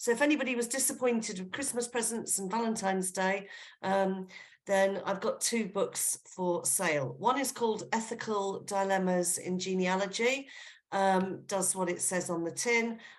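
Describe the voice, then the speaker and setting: A woman with an English accent, medium pitch and ordinary pitch variation, at a moderate pace, with audible room echo. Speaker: genealogy speaker. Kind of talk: online lecture. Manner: casual, with fillers.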